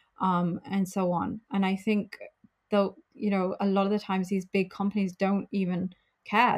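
She speaks in a British accent at a moderate pace and medium pitch. The woman's delivery is monotone, flat, and somewhat breathy. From UK. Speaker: travel company founder. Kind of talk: interview.

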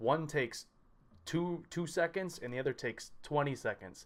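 In a plain, everyday voice, a man speaks at a moderate pace with ordinary pitch variation. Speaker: podcast host and lifter. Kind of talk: casual interview. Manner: upbeat.

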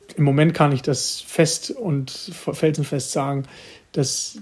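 A somewhat breathy man's voice, fairly high in pitch, with fairly even intonation. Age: 20s. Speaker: mayor. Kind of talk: interview answers.

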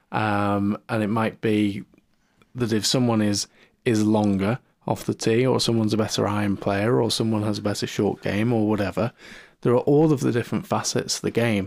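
A man with a British accent speaks at a moderate pace and a fairly low pitch. His intonation is fairly even and his loudness very even. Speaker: podcast host. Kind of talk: casual chat.

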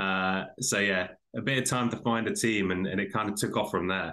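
A man with a British accent speaks at a moderate pace in a fairly low voice with a bright, sharp tone. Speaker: podcaster. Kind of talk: casual interview.

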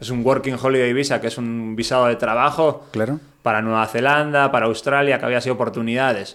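Hardly pausing, a man talks at a fairly quick pace and medium pitch with monotone, flat intonation. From Basque Country, Spain. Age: 30s. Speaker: traveler, touring cyclist. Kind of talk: casual interview.

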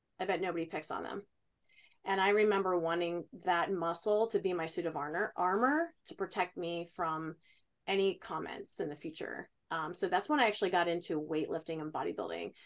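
A woman with an American accent and a normal speaking voice, fairly low in pitch, with ordinary pitch variation, a fairly quick pace and a quiet background. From Ohio. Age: 40s. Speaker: fitness coach and retired bodybuilder. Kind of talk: casual chat.

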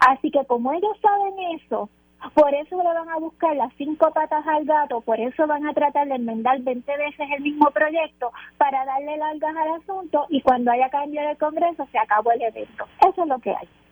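A woman speaks in a high voice at a moderate pace. Her pitch varies in an ordinary way, and the sound is dry and close with no echo. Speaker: political commentator. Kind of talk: radio panel discussion.

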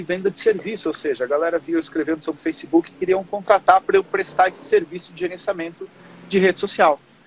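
A man's high-pitched voice with ordinary pitch variation, in a dry, close sound with no echo, over noticeable background noise. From Portugal. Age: 30s. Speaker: digital marketing specialist. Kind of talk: casual interview.

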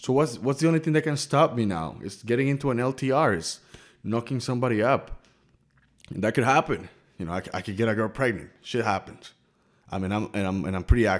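Recorded very cleanly against a silent background, a man talks very fast at a medium pitch with lively intonation. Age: 30s. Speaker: YouTuber. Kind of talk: vlog monologue. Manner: casual, animated.

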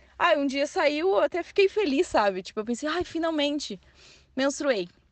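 Speaking at a moderate pace with lively intonation, a woman is heard in a dry, close recording with no echo. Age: 20s. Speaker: journalism student and nursing technician. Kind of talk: interview answers.

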